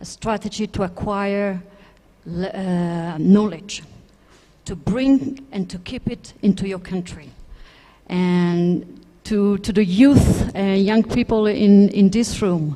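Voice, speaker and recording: At a very slow pace, a woman with a non-native accent speaks at medium pitch with ordinary pitch variation and big swings in loudness. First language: not English. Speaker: space sector panelist. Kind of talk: panel discussion. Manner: halting.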